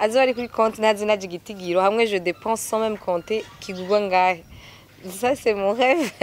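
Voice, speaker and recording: A woman's plain, everyday voice, fairly high in pitch, at a fairly quick pace. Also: ordinary pitch variation. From Burundi. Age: 20s. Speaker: singer and student. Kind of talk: interview.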